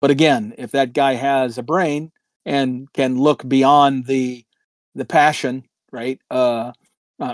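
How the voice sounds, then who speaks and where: A man's plain, everyday voice at medium pitch, with fairly even intonation. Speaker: podcast co-host. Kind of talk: casual chat. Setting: in Florida, drinking beer while recording.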